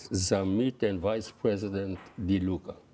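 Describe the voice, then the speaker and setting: The speaker is a man with a fairly low pitch. His voice has a dark, mellow tone. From Belgium. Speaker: boxing federation president. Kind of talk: interview.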